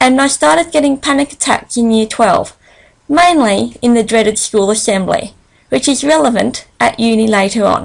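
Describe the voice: This woman's fairly high voice carries vocal fry, moving at a moderate pace with ordinary pitch variation.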